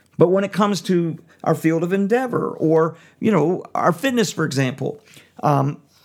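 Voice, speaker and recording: A man speaks at a moderate pace with lively intonation. The recording is very clean, with a silent background. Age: 50s. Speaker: prison music minister and podcast host. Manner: talkative, casual with filler words.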